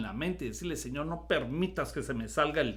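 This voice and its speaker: Audible room echo follows a man as he talks fairly quickly. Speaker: pastor. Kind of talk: sermon. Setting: recorded video.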